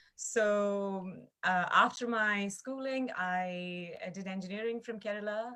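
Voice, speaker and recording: A woman talks in a bright, sharp tone with big swings in loudness. She hardly pauses, and room echo is audible. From India, small town in Chhattisgarh. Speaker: backpacker. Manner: halting.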